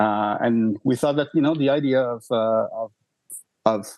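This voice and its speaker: At a moderate pace, a man with a Quebec accent speaks in a dark, mellow, medium-pitched voice with fairly even intonation. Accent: Québécois French accent in English. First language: French. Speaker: rock band singer and songwriter. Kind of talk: podcast interview. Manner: halting, many fillers.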